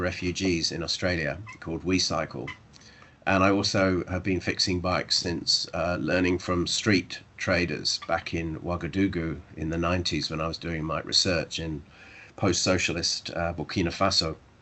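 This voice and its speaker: The speaker has a southern English accent. Intonation stays fairly even at a moderate pace. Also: man, very deep, low pitch for a man. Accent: British, southern English. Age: old. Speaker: professor. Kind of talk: academic seminar talk.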